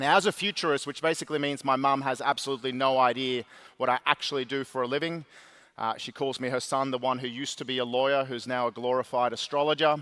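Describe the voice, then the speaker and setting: A bright, sharp tone races along at a very fast pace on a very clean recording with a silent background. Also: man, medium pitch for a man. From Sweden, Stockholm. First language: Swedish. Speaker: keynote speaker, futurist. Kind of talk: keynote speech. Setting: stage with audience. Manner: animated.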